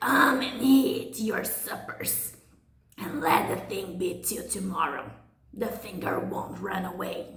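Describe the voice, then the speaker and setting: A woman puts on a raspy character voice at a medium pitch with lively intonation and a fairly slow pace. There is a slight echo. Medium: read story.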